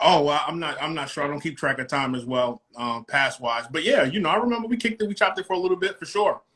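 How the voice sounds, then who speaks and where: A man with a New York accent, bright and sharp in tone, at a fairly high pitch, with very wide pitch swings, a very fast pace and hardly any pauses. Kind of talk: casual interview.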